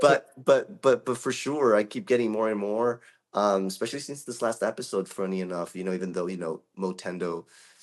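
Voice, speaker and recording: A man talks at a fairly quick pace in a fairly low voice. His pitch varies in an ordinary way, and the background is quiet. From Brazil, São Paulo. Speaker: voice actor. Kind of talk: interview. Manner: halting, many repeated words.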